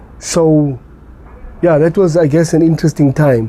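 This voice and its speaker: A man speaks over noticeable background noise. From South Africa, Eldorado Park, Johannesburg. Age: 40s. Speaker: addiction recovery coach. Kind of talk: personal interview testimony. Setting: parents' house. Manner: hesitant, many fillers and repetitions.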